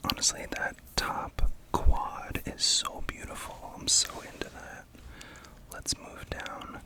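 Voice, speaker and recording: A man whispers at a very slow pace. Background noise is noticeable. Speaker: makeup ASMR creator. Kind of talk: ASMR palette-building video talking to camera. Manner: whispered, soft.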